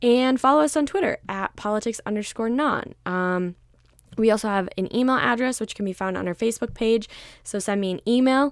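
A woman with an American accent has a plain, everyday voice and a fairly high pitch, with ordinary pitch variation. She speaks at a fairly quick pace in a very clean recording with a silent background. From Minnesota, US Midwest. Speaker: podcast host. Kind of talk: solo podcast monologue. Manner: frequent 'um' fillers, casual.

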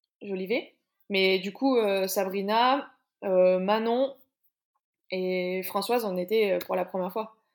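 Speaking very slowly with long, frequent pauses, a woman keeps a medium pitch and fairly even intonation. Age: 30s. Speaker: CrossFit athlete and coach. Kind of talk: interview.

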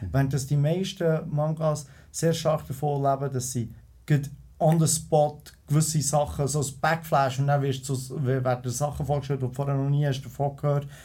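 The speaker has a Bernese accent and a dark, mellow, somewhat breathy tone. Delivery is at a moderate pace with fairly even intonation. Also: man, fairly high pitch for a man. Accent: Bernese Swiss German. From Switzerland, Bern. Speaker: entrepreneur. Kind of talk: casual chat.

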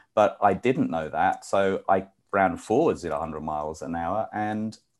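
On a very clean recording with a silent background, a man speaks. He has a slight British accent. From UK. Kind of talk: interview. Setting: live show.

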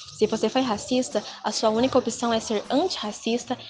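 Her fairly high pitch and fairly even intonation mark this woman's speech, heard over noticeable background noise. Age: 20s. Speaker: psychology student and dance teacher. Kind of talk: panel discussion.

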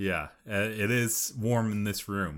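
A man speaks at a fairly slow pace. The recording is very clean, with a silent background. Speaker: podcast co-host and writer. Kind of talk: casual chat.

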